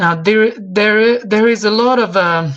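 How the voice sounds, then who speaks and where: With a Croatian accent, a woman speaks at a very slow pace in a somewhat breathy voice with ordinary pitch variation. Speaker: English teacher. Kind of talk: online expert talk. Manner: halting, many fillers and repetitions.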